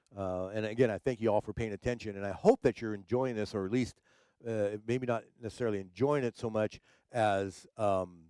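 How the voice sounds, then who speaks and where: A man with a fairly low pitch and a dark, mellow tone speaks at a fairly quick pace with fairly even intonation. The sound is dry and close with no echo, on a very clean recording with a silent background. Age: 60s. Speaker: livestream talk show host and DJ. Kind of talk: casual livestream chat. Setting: live stream. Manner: halting, many repetitions and fillers.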